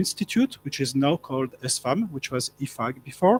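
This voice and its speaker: Recorded dry and close with no echo, a man with a French accent speaks at a fairly high pitch with lively intonation. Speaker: professor. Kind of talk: panel talk. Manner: halting.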